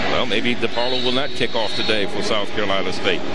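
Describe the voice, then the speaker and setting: At a fairly quick pace, the speech comes through loud background noise, with a dry sound and no echo. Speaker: play-by-play sports commentator. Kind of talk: live commentary.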